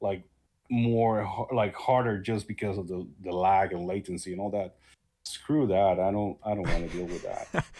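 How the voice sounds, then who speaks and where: A man with a non-native accent at a moderate pace, with a dark, mellow tone and fairly even intonation. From small country far from others. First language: not English. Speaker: YouTuber and shoot-em-up player. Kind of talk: casual interview chat. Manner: halting.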